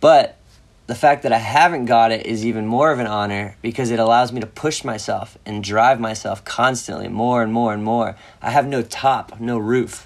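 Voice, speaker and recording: A man with an unremarkable speaking voice and medium pitch talks at a fairly quick pace with fairly even intonation. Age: 20s. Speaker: professional skateboarder. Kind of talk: casual interview.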